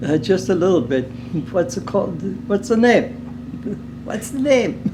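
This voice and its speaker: With noticeable background noise and audible room echo, a man speaks at a moderate pace in a high voice that has very wide pitch swings. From Germany, Berlin. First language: German. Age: 80s+. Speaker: retired underground miner. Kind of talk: interview. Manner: halting.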